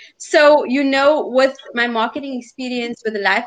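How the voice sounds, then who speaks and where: A woman talks in a high pitch. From South Africa. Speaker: life coach. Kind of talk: interview.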